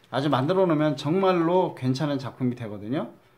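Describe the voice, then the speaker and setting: A man's lively intonation in a very clean recording with a silent background. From Chungcheong, Korea. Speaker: craft instructor. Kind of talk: tutorial. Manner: halting, stumbling over words.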